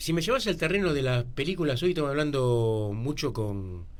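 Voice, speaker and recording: Audible room echo surrounds the voice. Its pitch rises and falls across a very wide range. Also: man. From Argentina, Buenos Aires area. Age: 60s. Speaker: local writer. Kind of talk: radio interview.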